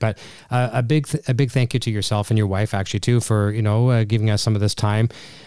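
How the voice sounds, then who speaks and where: Very fast and fairly even in intonation, a man speaks at a medium pitch with a dark, mellow tone. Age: 50s. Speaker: podcast host. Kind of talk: interview.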